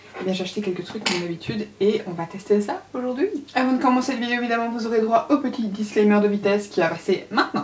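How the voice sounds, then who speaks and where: Over noticeable background noise, a woman talks very fast at a fairly high pitch with ordinary pitch variation. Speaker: beauty youtuber. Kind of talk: makeup tutorial.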